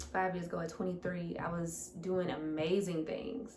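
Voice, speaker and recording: In an American accent, a woman speaks at a fairly low pitch and a fairly slow pace, in an animated tone. Audible room echo and noticeable background noise surround her. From US Midwest, St. Louis, Missouri. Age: 20s. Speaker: fitness coach. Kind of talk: Q&A monologue to camera. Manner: casual, animated.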